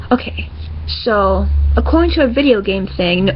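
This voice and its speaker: A woman speaks over noticeable background noise. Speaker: comic creator. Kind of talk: casual talk to camera. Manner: stuttering, hesitant.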